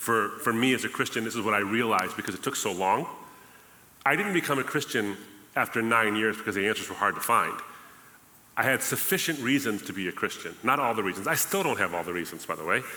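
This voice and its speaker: Amid noticeable background noise, a man talks at a very fast pace and a medium pitch. His tone is animated and his intonation lively. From Lebanon. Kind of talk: testimony.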